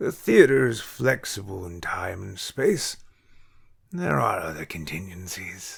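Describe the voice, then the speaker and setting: Putting on a character voice, a man speaks at a fairly slow pace in a very deep, low pitch with big swings in loudness, on a very clean recording with a silent background. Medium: read story.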